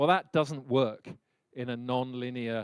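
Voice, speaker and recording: The speaker has a British accent, fairly even intonation and a fairly slow pace. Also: man. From Britain. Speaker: leadership speaker. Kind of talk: lecture.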